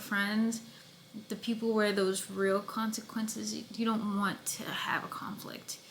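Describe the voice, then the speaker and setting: The speaker talks at a fairly slow pace in a flat, monotone way, with noticeable background noise behind them. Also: woman. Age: 20s. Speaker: podcast host and actress. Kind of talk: casual monologue. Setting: away from home while filming.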